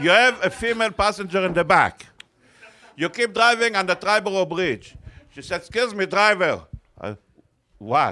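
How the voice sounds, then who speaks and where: With an Israeli accent, a high-pitched man uses a raised, projected voice at a moderate pace, showing ordinary pitch variation and long, frequent pauses. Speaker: cab driver. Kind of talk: casual banter.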